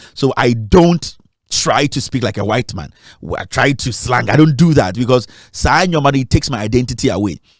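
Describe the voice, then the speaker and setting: Lively intonation marks a man's speech in a Ghanaian accent. He talks at a fairly quick pace with a medium pitch. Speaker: media founder and documentary maker. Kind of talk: interview. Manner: halting, with repetitions.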